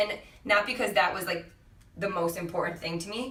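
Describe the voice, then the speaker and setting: A woman with an American accent talks at a moderate pace in a medium pitch with fairly even intonation. Noticeable background noise and audible room echo surround her. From California, San Diego. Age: 20s. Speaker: fitness coach and cancer survivor. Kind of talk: podcast interview. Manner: conversational, halting with fillers.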